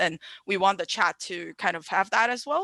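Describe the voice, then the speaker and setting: A woman's bright, sharp voice at medium pitch, with a Chinese accent, lively intonation and moderate pace. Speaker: event host. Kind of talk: live-stream panel moderation. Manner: hesitant, filler-heavy.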